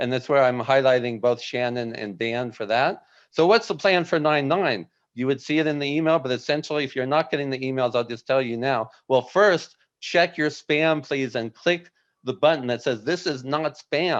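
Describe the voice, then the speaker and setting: This man has an ordinary speaking voice at medium pitch with ordinary pitch variation. He talks at a moderate pace against a quiet background. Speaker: webinar host, former software company employee. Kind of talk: live webinar presentation. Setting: live video stream with chat.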